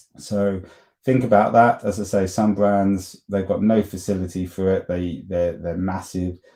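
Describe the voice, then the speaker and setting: A man has an ordinary speaking voice with a fairly low pitch. He talks at a fairly slow pace. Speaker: marketing agency presenter. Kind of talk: live webinar presentation. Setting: livestream on YouTube and LinkedIn. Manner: casual with many fillers and restarts.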